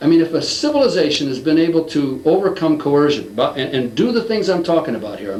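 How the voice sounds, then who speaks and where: A man's very fast, lively-intoned speech over background music. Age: 60s. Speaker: lecturer on a social theory. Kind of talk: interview. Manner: animated.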